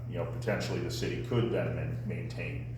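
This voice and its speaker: A man talks with audible room echo and noticeable background noise. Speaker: resident speaking at public meeting. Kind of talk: public comment at city council meeting. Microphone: speaking without a microphone.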